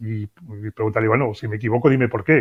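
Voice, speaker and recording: A man talking at a fairly quick pace. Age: 60s. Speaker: business consultant and author. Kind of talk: interview. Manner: hesitant, with fillers.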